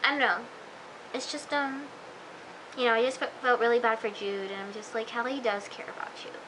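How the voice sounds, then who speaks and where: A high-pitched woman at a fairly quick pace, fairly even intonation, long, frequent pauses and noticeable background noise. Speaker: TV show reviewer. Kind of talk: casual video review. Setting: self-recorded on camera. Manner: hesitant, many fillers; fast.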